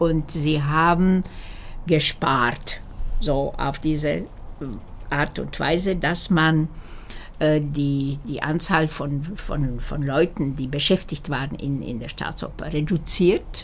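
A woman with a Slovak accent speaks at a very deep, low pitch with ordinary pitch variation. Her pace is very slow, with long, frequent pauses. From Slovakia, Bratislava. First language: Slovak (speaking German). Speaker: opera singer. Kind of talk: interview. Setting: at home. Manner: halting.

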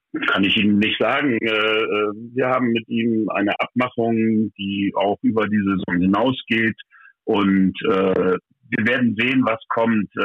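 Very slow in pace, a man talks at medium pitch with fairly even intonation and very even loudness. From Lower Saxony, Vechta. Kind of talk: interview. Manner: halting.

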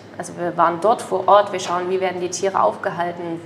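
A woman's medium-pitched voice at a very fast pace over noticeable background noise. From Saxony, Ore Mountains (Erzgebirge). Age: 20s. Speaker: chef. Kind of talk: interview. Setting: restaurant.

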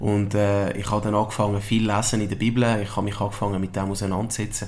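Speaking very fast with a fairly low pitch, a man is heard over audible room echo. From Switzerland. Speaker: football coach, former pro footballer. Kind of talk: interview. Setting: club premises.

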